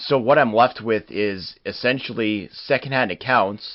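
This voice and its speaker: An ordinary speaking voice with a Canadian accent and ordinary pitch variation. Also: man. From Canada. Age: 30s. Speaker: wrestling history podcast host. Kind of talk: podcast narration reading quotes and articles.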